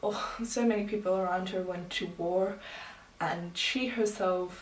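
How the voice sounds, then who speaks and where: A woman at a medium pitch, fairly slow and fairly even in intonation, with audible room echo and noticeable background noise. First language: not English. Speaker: booktuber. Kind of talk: casual vlog talk.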